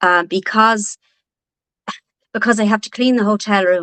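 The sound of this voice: In a northwest Irish accent, a woman talks at a fairly slow pace with a fairly bright tone and a dry, close sound with no echo. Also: medium pitch for a woman, ordinary pitch variation. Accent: Irish, from the north-west.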